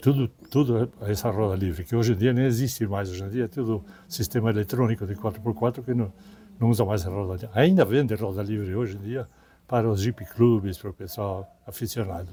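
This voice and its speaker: Here a man talks at a fairly quick pace and a fairly low pitch. His tone is dark and mellow, and somewhat breathy. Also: ordinary pitch variation. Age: 90s. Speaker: expedition veteran and retired businessman. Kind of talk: interview. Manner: halting, with repetitions.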